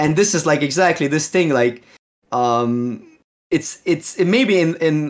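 A man speaks at a fairly slow pace in a fairly high pitch, with lively intonation and a Slovene accent. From Slovenia, near Austrian border. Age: 30s. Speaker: Magic card game streamer. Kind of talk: casual interview.

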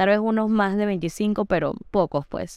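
A woman talks at a medium pitch, with ordinary pitch variation. The recording is very clean and the background silent. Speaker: podcast host. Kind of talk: casual chat.

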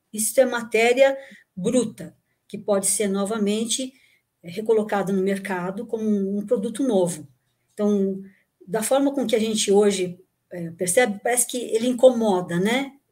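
Long, frequent pauses break up the speech. The voice is somewhat breathy, with a dark, mellow tone. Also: woman, fairly high pitch for a woman, ordinary pitch variation, moderate pace. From São Paulo, Brazil (born in Rio Grande do Sul, moved at nine). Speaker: engineer and recycling expert, former lecturer. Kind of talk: casual chat.

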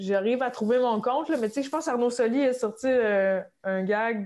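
Against a quiet background, a woman with a Quebec accent talks at a fairly slow pace with ordinary pitch variation. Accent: Québécois French. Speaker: comedian. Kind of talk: casual chat.

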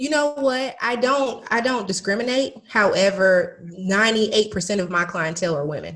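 Using a normal speaking voice, a woman with fairly high pitch and lively intonation talks at a fairly slow pace with hardly any pauses. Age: 30s. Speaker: business coach. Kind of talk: casual chat.

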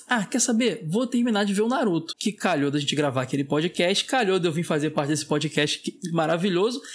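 Very wide pitch swings run through a man's speech at a fairly quick pace. His loudness stays very even on a very clean recording with a silent background. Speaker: podcast co-host. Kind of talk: casual chat.

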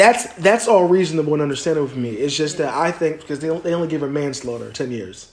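Talking at a very fast pace with lively intonation, a man with an American accent has a fairly high pitch over noticeable background noise. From US, New Jersey (Cherry Hill area). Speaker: podcast host. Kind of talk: casual chat. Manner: animated.

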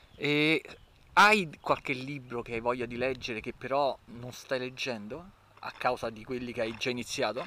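The voice has a bright, sharp tone and big swings in loudness. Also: man, medium pitch for a man, ordinary pitch variation, moderate pace. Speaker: podcast host. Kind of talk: casual chat while walking. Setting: outdoors, walking, wind noise, handheld recorder. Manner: casual, chatty.

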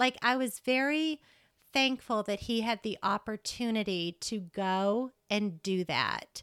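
On a very clean recording with a silent background and a dry, close sound with no echo, a woman with a fairly high pitch speaks very slowly with ordinary pitch variation. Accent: American. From Massachusetts. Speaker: elementary school teacher, mother. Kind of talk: casual interview chat.

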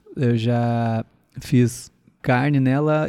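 A man speaks with a Gaúcho Brazilian accent and a dark, mellow tone. The sound is dry and close, with no echo. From southern Brazil, Rio Grande do Sul (Sapiranga, near Porto Alegre). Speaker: comedian and podcast host. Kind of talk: casual solo podcast monologue. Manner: chatty and hesitant, with fillers.

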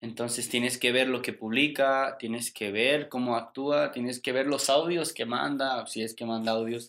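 Hardly pausing, a man with an unremarkable speaking voice talks at medium pitch with fairly even intonation. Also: fairly slow pace. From Mexico. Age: 20s. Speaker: podcast guest. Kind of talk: casual chat.

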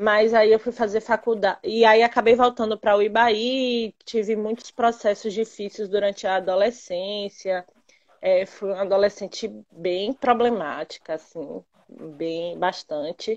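In a dry, close sound with no echo, a woman speaks at a fairly slow pace with a fairly high pitch and ordinary pitch variation. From interior of Bahia, Brazil. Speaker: physical education teacher. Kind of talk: casual chat. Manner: loud.

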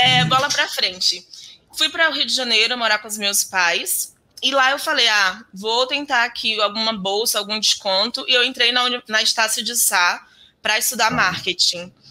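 Here is a plain, everyday voice. A woman talks at a fairly high pitch and a moderate pace, with ordinary pitch variation. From Bahia, Brazil (interior, Alagoinhas). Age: 30s. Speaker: software developer and programming teacher. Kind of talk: interview.

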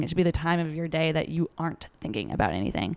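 Vocal fry runs through this very fast delivery. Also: woman. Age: 20s. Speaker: relationship and dating coach. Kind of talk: casual chat. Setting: studio in a loud warehouse.

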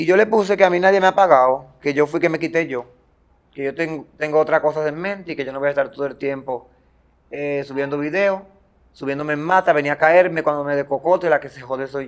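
In a normal speaking voice, this man's fairly high pitch rises and falls with ordinary variation as he moves along at a fairly quick pace. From Dominican Republic, Baní (Peravia). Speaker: social media comedian. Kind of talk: interview.

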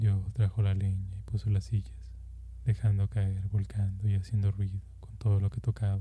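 Natural-voiced reading aloud.

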